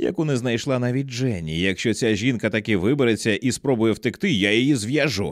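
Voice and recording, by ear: Someone reads aloud in a natural voice. The pitch varies in an ordinary way.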